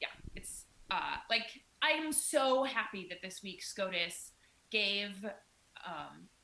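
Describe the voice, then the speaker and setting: A woman with an Iowan accent, medium pitch and a bright, sharp tone, lively intonation, big swings in loudness, and a very slow pace broken by long, frequent pauses. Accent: Midwestern, Iowan. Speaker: podcast co-host. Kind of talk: casual podcast chat.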